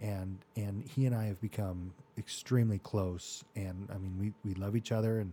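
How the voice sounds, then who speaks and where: A man with an American accent speaks at a moderate pace and a fairly low pitch. His dark, mellow tone is somewhat breathy, and his intonation is fairly even. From Arizona (Mesa). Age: 40s. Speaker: orthodontist and podcast host. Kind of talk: life-story interview. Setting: studio.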